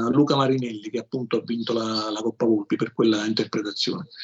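Here is a man with medium pitch and fairly even intonation. It is an ordinary speaking voice. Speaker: author. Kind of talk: interview.

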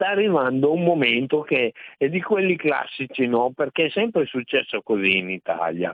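A man speaks in a fairly high pitch with very wide pitch swings. His loudness stays very even. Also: moderate pace. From Emilia-Romagna, Reggio Emilia. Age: 60s. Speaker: caller. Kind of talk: phone-in call. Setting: phone call.

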